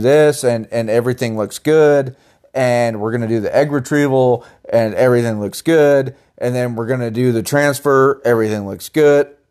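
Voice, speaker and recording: A man talks in a normal speaking voice at a moderate pace, with medium pitch and fairly even intonation. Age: 30s. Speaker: podcast co-host trying to conceive. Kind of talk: casual chat.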